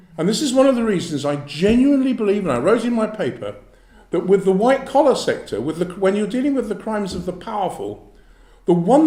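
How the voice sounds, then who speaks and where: A man with a London accent talks fairly quickly in a high voice. His tone is dark and mellow, and his intonation is lively. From South East London. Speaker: former fraud squad police officer. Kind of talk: public talk with Q&A.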